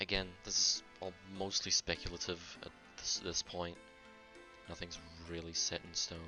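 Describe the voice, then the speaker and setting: Monotone, flat delivery at a fairly slow pace, with long, frequent pauses, big swings in loudness, and music in the background. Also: man, very deep, low pitch for a man. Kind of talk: casual gaming commentary. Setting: poor home microphone.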